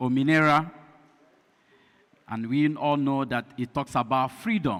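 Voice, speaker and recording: With a strong Nigerian accent, a man speaks very slowly in a fairly high voice with ordinary pitch variation, in a very clean recording with a silent background. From Nigeria (Igbo). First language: Igbo. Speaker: pastor and lecturer. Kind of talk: lecture. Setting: community hall with audience. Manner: deliberately slow.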